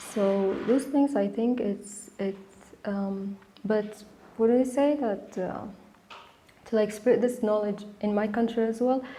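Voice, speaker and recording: Over noticeable background noise, a woman talks at a fairly slow pace with long, frequent pauses. Her voice is fairly high in pitch, with fairly even intonation. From Sudan. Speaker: architecture student. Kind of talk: interview. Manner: halting.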